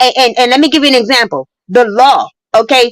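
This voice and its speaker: Loud and animated, a woman talks in a dry, close sound with no echo. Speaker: caller on a live stream. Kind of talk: heated debate.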